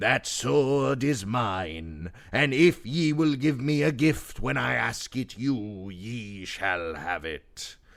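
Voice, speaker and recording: A man's put-on character voice, very slow, with very wide pitch swings and hardly any pauses. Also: medium pitch for a man. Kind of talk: archaic storytelling. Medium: read story.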